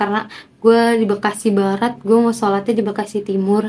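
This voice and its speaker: Her intonation monotone and flat, a woman speaks in a fairly high pitch with a dark, mellow tone. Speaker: vlogger doing a speaking challenge. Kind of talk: casual vlog monologue to camera. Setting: at home, talking to camera. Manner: unscripted, spontaneous.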